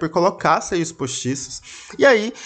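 A man with a Brazilian accent and lively intonation. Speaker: podcast host. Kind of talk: casual storytelling monologue.

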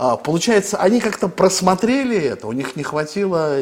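A man talks at a moderate pace, his high voice carrying lively intonation. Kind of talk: interview discussion on politics. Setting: studio.

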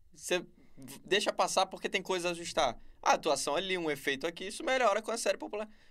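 Bright, sharp male speech in a Rio de Janeiro accent, high-pitched for a man, at a fairly quick pace, in a very clean recording with a silent background. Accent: Carioca Brazilian Portuguese. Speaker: YouTuber reviewing TV series. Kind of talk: casual chat. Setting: podcast studio.

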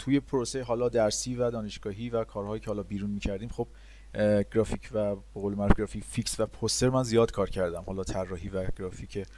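A man talks at a very fast pace in a fairly low pitch. His tone is dark and mellow, and his intonation stays fairly even. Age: 30s. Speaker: motion graphics designer. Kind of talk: interview. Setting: remote call.

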